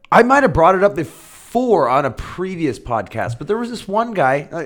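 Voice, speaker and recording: A man's voice with a Midwestern American accent and very wide pitch swings. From Iowa, US Midwest. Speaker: podcast co-host. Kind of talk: casual chat.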